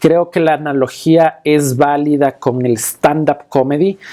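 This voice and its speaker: This man has a fairly high pitch and a dark, mellow tone. He talks at a very slow pace with fairly even intonation. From Quito, Ecuador. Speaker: magician and stage performer. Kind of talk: interview answer.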